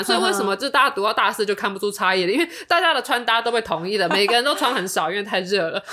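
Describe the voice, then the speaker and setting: Noticeable background noise fills the clip. Over it, a woman talks very fast. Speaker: podcast co-host. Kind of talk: casual chat.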